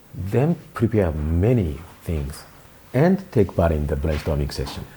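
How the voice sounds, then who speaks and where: A man's very deep, low voice in a Japanese accent, with lively intonation and a fairly slow pace. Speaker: country manager of a tech company. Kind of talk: interview. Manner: halting.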